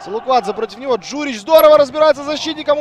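A man's voice amid noticeable background noise. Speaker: football commentator. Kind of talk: live sports commentary. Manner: excitable on goals and dangerous moments.

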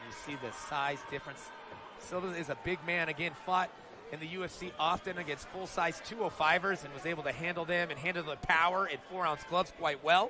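Amid noticeable background noise, a man with a high pitch sounds animated and excited, using ordinary pitch variation. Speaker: boxing commentator. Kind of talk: live boxing commentary. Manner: animated, fast play-by-play patter with excited exclamations.

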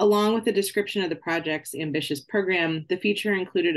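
The speech comes at a very fast pace against a quiet background. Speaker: candidate. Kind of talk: lecture. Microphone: video call.

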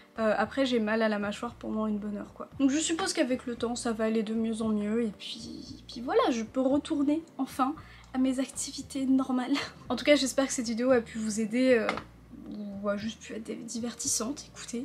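A woman speaks at a fairly quick pace in a high pitch. Music plays in the background. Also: ordinary pitch variation. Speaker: vlogger. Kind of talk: casual vlog chat. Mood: relaxed, wrapping up video. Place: home room.

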